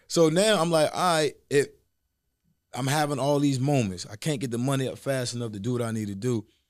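A plain, everyday voice with lively intonation at a fairly quick pace, on a very clean recording against a silent background. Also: man, medium pitch for a man. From Virginia Tidewater area. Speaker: government contracting entrepreneur and coach. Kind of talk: casual interview.

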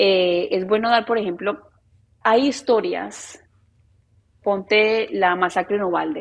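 A woman's medium-pitched, ordinary speaking voice with ordinary pitch variation. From Colombia, Medellín. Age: 30s. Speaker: journalist. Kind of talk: interview conversation.

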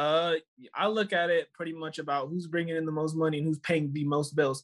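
A man speaks in a plain, everyday voice at a fairly high pitch. His pace is moderate and his pitch variation ordinary. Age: 20s. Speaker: caller. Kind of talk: casual chat.

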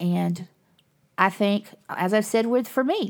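A woman's voice with a Southern US accent and ordinary pitch variation, on a very clean recording with a silent background. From US South. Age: 50s. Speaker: podcast host. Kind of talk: casual monologue. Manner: animated.

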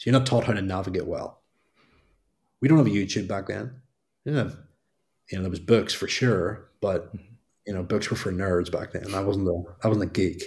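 A man with a fairly low, somewhat breathy voice and ordinary pitch variation speaks at a fairly quick pace with long, frequent pauses, on a very clean recording with a silent background. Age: 30s. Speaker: fitness business mentor. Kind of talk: interview.

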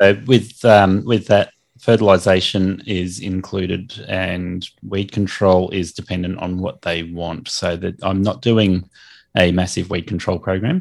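Very deep and low in pitch, a man with an Australian accent talks at a fairly slow pace with fairly even intonation. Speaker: lawn maintenance business owner and podcast host. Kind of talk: casual interview. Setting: remote call.

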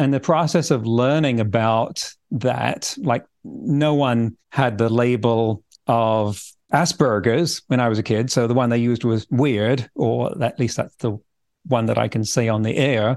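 Someone with an English accent talks at a fairly slow pace over a quiet background, keeping very even loudness and ordinary pitch variation. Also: man, medium pitch for a man. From England. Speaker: futurist and author. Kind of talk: interview conversation.

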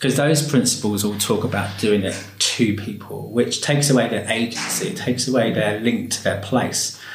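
Speech runs at a moderate pace with hardly any pauses and ordinary pitch variation. Audible room echo and noticeable background noise surround it. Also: man, medium pitch for a man. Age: 40s. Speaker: education and care worker. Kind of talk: interview. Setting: library.

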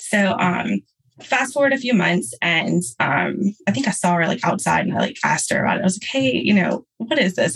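Vocal fry runs through this voice, which moves at a moderate pace. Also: woman. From Louisiana. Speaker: registered nurse turned podcast manager. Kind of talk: interview. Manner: casual, filler-heavy.

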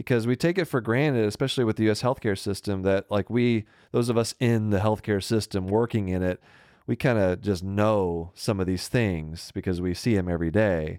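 In an American accent, a man with a fairly low pitch and an ordinary speaking voice talks fairly quickly with ordinary pitch variation and very even loudness, in a dry, close sound with no echo on a very clean recording with a silent background. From US South. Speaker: podcast host, physician. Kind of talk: casual chat. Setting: home studio in spare room.

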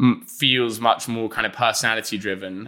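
This man speaks at a fairly quick pace with a medium pitch and fairly even intonation. His tone is bright and sharp. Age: 20s. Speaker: food media founder. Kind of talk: interview.

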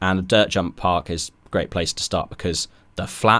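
On a very clean recording with a silent background, a man with a very deep, low pitch talks at a moderate pace. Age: 20s. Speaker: videographer and video editor. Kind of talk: casual interview. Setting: podcast studio.

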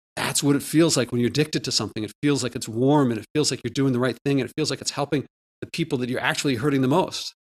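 Very fast and fairly even in intonation, a man talks at a medium pitch with a dry, close sound and no echo. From US Northeast, Philadelphia. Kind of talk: interview.

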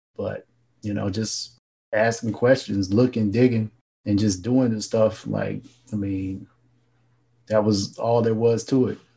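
The voice has an American accent and a dark, mellow, somewhat breathy tone. Delivery is fairly slow and monotone, with flat intonation and long, frequent pauses. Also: man, fairly low pitch for a man. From North Carolina. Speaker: entrepreneur and author. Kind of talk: interview.

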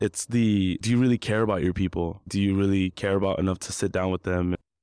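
A man with an American accent and fairly low pitch, fairly even intonation at a fairly quick pace, in a very clean recording with a silent background and a dry, close sound with no echo. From Compton, California, US. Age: 20s. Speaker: interior designer. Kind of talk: interview conversation. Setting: live event podcast studio.

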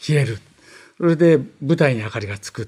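A man speaks at a moderate pace and medium pitch, his tone dark, mellow and somewhat breathy. The recording is very clean with a silent background. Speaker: veteran anime director. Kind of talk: interview. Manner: halting, many fillers.

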